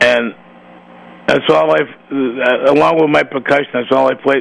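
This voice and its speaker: A man with an American accent talks at a moderate pace against noticeable background noise. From Massachusetts. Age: 70s. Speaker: radio talk show host. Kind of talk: radio interview show. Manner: rambling, repetitive.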